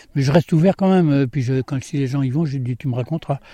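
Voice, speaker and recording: This man's voice sits fairly high in pitch, with a dark, mellow tone. He speaks at a moderate pace with ordinary pitch variation, in a dry, close sound with no echo. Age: 70s. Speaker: former farmhand and voluntary simplicity author. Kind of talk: interview. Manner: halting.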